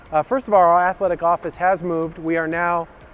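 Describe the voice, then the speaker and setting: Over noticeable background noise, a man with an American accent speaks at a fairly quick pace with fairly even intonation. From Colorado. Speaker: athletic director. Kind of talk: recorded video address to families. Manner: casual with many fillers.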